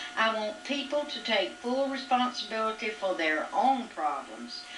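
A woman at a fairly high pitch and a moderate pace, with noticeable background noise. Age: 60s. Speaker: mother. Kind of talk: reading her own written reflections aloud. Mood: reflective, calm. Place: home room. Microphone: old recording.

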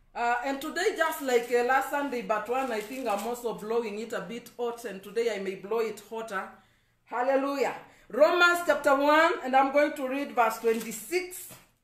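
In a room with audible echo, a man speaks at an extremely high pitch with ordinary pitch variation. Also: moderate pace. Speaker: evangelist preacher. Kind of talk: sermon. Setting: Facebook live stream. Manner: preacherly, emphatic.

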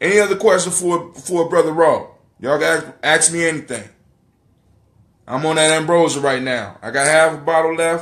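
A man with a fairly high voice and a fairly bright tone talks at a moderate pace, with ordinary pitch variation and long, frequent pauses.

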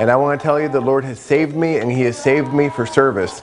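The speech moves at a fairly quick pace, with clear music in the background. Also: man. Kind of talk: testimony to camera. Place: home room. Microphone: lapel.

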